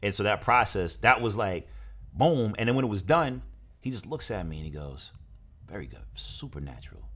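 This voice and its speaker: A man with an American accent talks at a fairly quick pace in a fairly low pitch. His voice shows vocal fry and very wide pitch swings. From New Jersey and Brooklyn, New York. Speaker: actor and producer. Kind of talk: interview.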